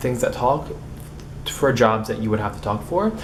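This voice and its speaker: A man's medium-pitched voice at a very fast pace, with audible room echo and noticeable background noise. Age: young. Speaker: vlogger. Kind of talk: casual vlog monologue. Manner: halting, with repetitions and blocks.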